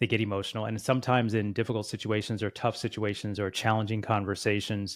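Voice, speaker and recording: On a very clean recording with a silent background, a man speaks at a very fast pace in a fairly low pitch with monotone, flat intonation. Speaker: podcast host. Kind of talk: podcast interview.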